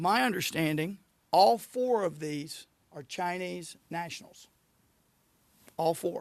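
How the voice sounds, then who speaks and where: A man speaks at a very slow pace and a high pitch, with ordinary pitch variation and big swings in loudness. His long pauses come often. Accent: Arkansas. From southern Arkansas (Magnolia). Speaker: state attorney general. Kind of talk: press conference.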